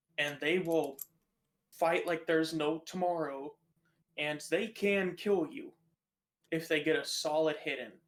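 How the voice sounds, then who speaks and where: A man with an American accent speaks fairly slowly at a fairly high pitch, his intonation fairly even. He leaves long, frequent pauses. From United States. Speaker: podcast co-host. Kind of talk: casual chat.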